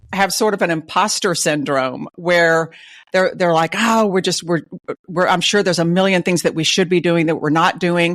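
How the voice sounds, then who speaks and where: In a Texas accent, a woman with a fairly low pitch speaks at a moderate pace on a very clean recording with a silent background. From Texas (Dallas). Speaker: retail advisor. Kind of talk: interview.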